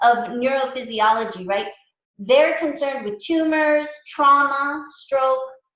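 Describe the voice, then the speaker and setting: A woman's high-pitched voice carries audible room echo. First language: not English. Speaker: mindfulness teacher. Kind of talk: lecture. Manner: casual, halting with fillers.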